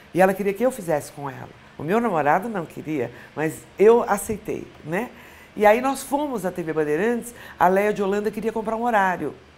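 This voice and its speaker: Vocal fry runs through this woman's medium-pitched voice. Her pitch swings very widely. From Brazil, São Paulo. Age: 60s. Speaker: former TV weather presenter. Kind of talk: interview.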